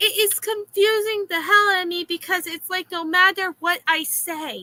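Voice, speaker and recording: A woman with an extremely high pitch and a bright, sharp tone projects her raised voice at a moderate pace, her pitch varying in an ordinary way, the sound dry and close with no echo. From Florida. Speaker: streamer reacting to videos. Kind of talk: casual reaction stream rant.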